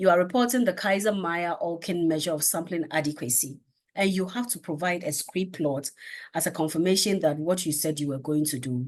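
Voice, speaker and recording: A normal speaking voice with lively intonation at a moderate pace, over a quiet background. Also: woman. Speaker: research methods lecturer. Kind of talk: lecture.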